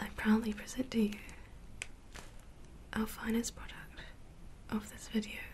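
Soft-spoken and monotone, a woman delivers her words with flat intonation at a moderate pace. Light background noise can be heard. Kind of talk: ASMR roleplay chat to the viewer. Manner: soft-spoken, mock-proud and quiet.

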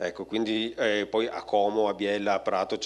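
This is a man speaking. His pitch is fairly low. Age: 40s. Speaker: company creative director; speaker. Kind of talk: conference talk. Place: hall. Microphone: handheld.

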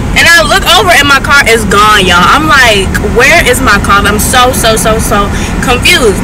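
Loud background noise fills the clip, which has a dry sound with no echo. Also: woman. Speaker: vlogger. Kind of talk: casual vlog chat. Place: car. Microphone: phone near.

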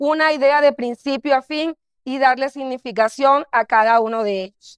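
Against a quiet background, a woman talks at a moderate pace in a high pitch with ordinary pitch variation, the sound dry with no echo. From Colombian Caribbean coast, Barranquilla; Colombian Caribbean coast. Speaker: dance professor and artistic director; dance professor. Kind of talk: academic paper reading. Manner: formal. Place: stage. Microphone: headset.

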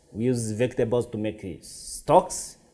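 A man talks at a fairly slow pace. His tone is dark and mellow. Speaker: chef instructor. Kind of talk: tutorial. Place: kitchen.

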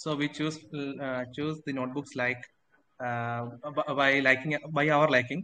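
A man with a fairly high pitch and a bright, sharp tone speaks fairly slowly in a flat monotone, with long, frequent pauses and light background noise. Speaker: IELTS student. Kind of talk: speaking test practice answer. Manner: halting, hesitant. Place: home room. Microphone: video call.

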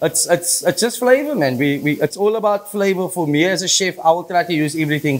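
A man speaks at a fairly quick pace with hardly any pauses. His high voice has lively intonation. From Argentina. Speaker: chef; guest. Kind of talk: cooking demonstration. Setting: home kitchen TV set. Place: kitchen.

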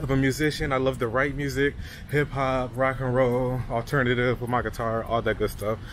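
Light background noise, a man's voice at a medium speed, dry and echo-free sound. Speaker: travel vlogger. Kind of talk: casual vlog chat. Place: street. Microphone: phone near.

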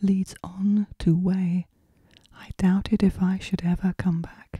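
Soft-spoken and somewhat breathy, a woman talks at a very slow pace and medium pitch with a dark, mellow tone. Her intonation is monotone and flat, and the sound is dry and close with no echo. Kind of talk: poetry reading.

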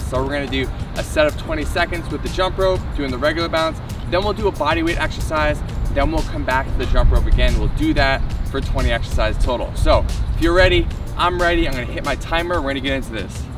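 Very fast speech from a man, dry with no echo, over clear music in the background. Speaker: fitness instructor. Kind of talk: workout follow-along instruction. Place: street.

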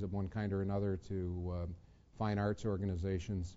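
At a fairly slow pace, a man talks in a very deep, low pitch with monotone, flat intonation. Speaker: lawyer giving a talk. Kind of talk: lecture. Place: classroom.

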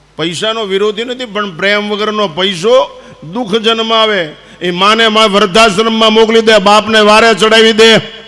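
A man speaks in a high pitch with a raised, projected voice. Noticeable background noise runs underneath. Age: 70s. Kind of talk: religious discourse. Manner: animated.

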